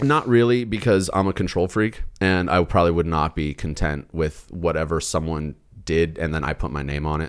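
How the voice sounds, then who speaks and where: With hardly any pauses, a man with an American accent talks in a very deep, low voice on a very clean recording with a silent background. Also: ordinary pitch variation, moderate pace. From United States. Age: 30s. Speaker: car video producer and truck enthusiast. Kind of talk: casual chat. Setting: at his home.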